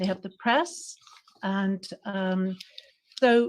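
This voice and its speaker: A somewhat breathy woman with an American accent, in a very clean recording with a silent background. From United States. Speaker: conference participant, socialist activist. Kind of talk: conference floor speech. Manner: animated.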